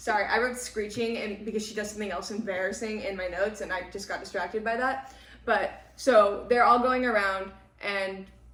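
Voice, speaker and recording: There is audible room echo and noticeable background noise. A woman with a medium-pitched voice speaks fairly quickly. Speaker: book podcast host. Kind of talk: casual chat. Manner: loud; animated.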